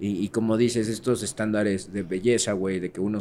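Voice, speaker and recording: A man talks at a fairly quick pace with fairly even intonation. His is a plain, everyday voice, fairly low in pitch. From Mexico City. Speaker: podcast co-host. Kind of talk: casual chat.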